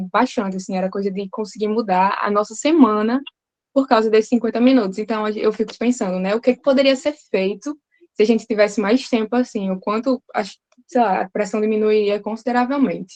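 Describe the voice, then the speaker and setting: A woman's fairly high voice at a fairly quick pace, dry and close with no echo. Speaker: English teacher, participant. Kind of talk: group discussion contribution. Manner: fast.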